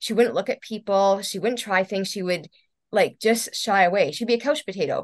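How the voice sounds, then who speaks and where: A woman with an unremarkable speaking voice talks at a medium pitch and moderate pace. Her pitch variation is ordinary, and the background is quiet. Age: 40s. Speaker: holistic entrepreneur and health coaching client. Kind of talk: interview.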